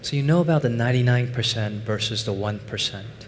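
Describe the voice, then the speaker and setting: At a moderate pace, a man with a Chinese accent speaks in a somewhat breathy voice at medium pitch, with audible room echo. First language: Mandarin Chinese. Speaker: finance professor and investment executive. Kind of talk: conference talk. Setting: stage with audience.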